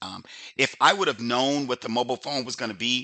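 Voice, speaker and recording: A man at a very fast pace, medium pitch, bright and sharp in tone, with a quiet background. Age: 60s. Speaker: business opportunity presenter. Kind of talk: sales pitch. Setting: webinar. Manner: casual, halting.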